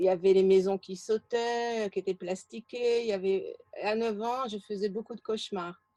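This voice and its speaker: Her tone dark and mellow, a woman with a fairly high pitch speaks at a moderate pace with fairly even intonation, in a dry, close sound with no echo. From France, childhood in French Algeria. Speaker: interview guest. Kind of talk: interview. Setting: video call. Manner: halting.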